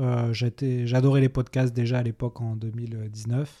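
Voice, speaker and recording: Heard in a very clean recording with a silent background, a man speaks at a medium pitch in a dark, mellow tone. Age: 30s. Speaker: sales director and podcaster. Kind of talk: interview. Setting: video studio.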